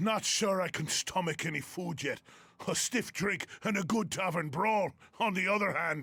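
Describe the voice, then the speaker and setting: This man uses a put-on character voice. His pitch sits high. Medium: video game. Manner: gruff, grumbling.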